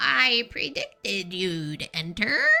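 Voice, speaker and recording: Putting on a raspy character voice, a woman speaks at a medium pitch. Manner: mysterious, knowing.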